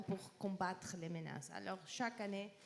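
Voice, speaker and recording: With a non-native accent, a woman speaks fairly slowly. Her pitch varies in an ordinary way. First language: not French (speaking French). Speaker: policy researcher presenting a peace index. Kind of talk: panel presentation. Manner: halting.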